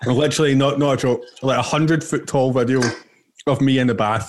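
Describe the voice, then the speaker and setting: At a fairly quick pace, a man with a Glaswegian accent talks at a medium pitch with fairly even intonation. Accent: Glaswegian Scottish. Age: 20s. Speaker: podcast co-host. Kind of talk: casual chat.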